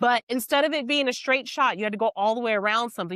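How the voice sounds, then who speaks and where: In an American accent, a woman talks at a very fast pace, fairly high in pitch, with lively intonation. The sound is dry and close, with no echo. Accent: Texan, noticed by customers. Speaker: podcast co-host. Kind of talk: casual chat.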